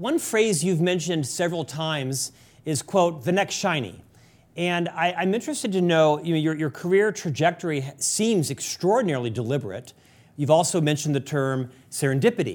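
A man with an American accent speaks in an unremarkable speaking voice at a fairly quick pace, fairly high in pitch with lively intonation. The recording is very clean, with a silent background. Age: 50s. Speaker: podcast host. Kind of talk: interview.

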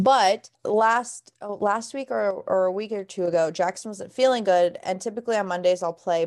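This woman talks at a moderate pace, her medium-pitched voice showing ordinary pitch variation. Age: 20s. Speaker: podcast host and video game streamer. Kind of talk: casual chat. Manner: animated.

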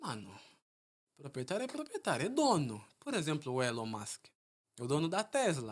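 The pitch swings very widely at a moderate pace. Long pauses come often. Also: man, fairly high pitch for a man. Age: 20s. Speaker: entrepreneur and stock investor. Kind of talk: casual interview chat.

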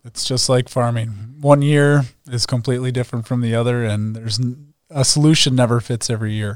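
A man with an American accent uses a normal speaking voice at a medium pitch, talking at a fairly quick pace with fairly even intonation and hardly any pauses. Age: 30s. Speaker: agronomy podcast host. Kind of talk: casual interview.

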